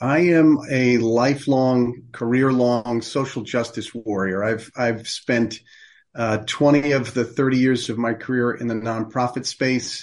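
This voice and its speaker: A man with a plain, everyday voice, medium pitch and fairly even intonation, at a fairly slow pace against a quiet background. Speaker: charity executive. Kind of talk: interview.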